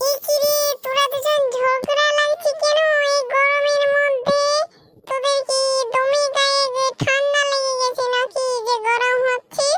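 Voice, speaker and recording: A woman in a cartoonish character voice, pitched extremely high. She speaks at a moderate pace with monotone, flat intonation. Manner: firm, scolding.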